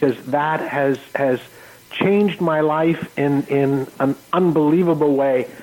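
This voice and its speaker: A man with a Canadian accent speaks at a very slow pace in a fairly high voice with fairly even intonation. His loudness holds very even, with noticeable background noise behind him. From Ontario, Canada. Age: 60s. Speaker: life coach. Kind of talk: radio interview. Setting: radio studio. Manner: halting, many fillers.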